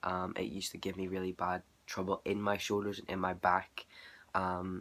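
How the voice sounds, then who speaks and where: A man with a Northern Irish accent and a very deep, low pitch, monotone, flat intonation at a moderate pace, on a very clean recording with a silent background. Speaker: vlogger. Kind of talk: casual vlog.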